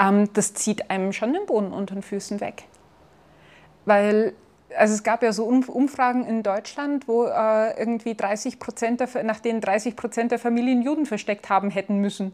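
A woman talks at a moderate pace. Her voice sits fairly high in pitch. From Bavaria, Germany (between Chiemsee and Salzburg). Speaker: physician. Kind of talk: interview.

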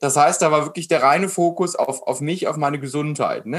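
A man speaks at a very fast pace. His voice is fairly high in pitch. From Germany, Frankfurt area. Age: 20s. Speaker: mindset coach. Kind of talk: interview conversation. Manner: animated.

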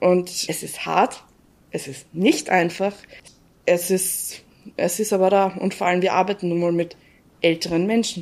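A woman talks at a moderate pace and a medium pitch. Her intonation stays fairly even. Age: 20s. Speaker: home care trainee. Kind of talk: interview.

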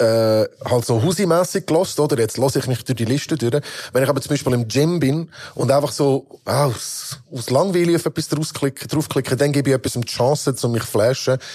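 Fairly high in pitch, a man talks at a fairly quick pace with ordinary pitch variation. There is noticeable background noise. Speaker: rapper. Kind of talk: casual chat.

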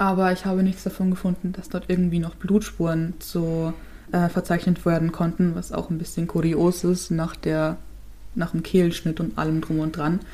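A woman speaks at a moderate pace in a fairly low, dark and mellow voice, somewhat breathy, with monotone, flat intonation. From Chiemgau, Upper Bavaria. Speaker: true crime podcast co-host. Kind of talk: case presentation in casual podcast chat.

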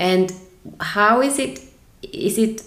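A woman with a German accent speaks at a fairly slow pace, with audible room echo around her. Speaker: podcast host, yoga teacher. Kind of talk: interview.

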